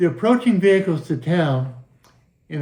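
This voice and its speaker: A man with an American accent talks at a fairly quick pace, his dark, mellow tone carried by lively intonation. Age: 70s. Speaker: highway safety advocate. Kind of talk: monologue commentary. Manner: animated.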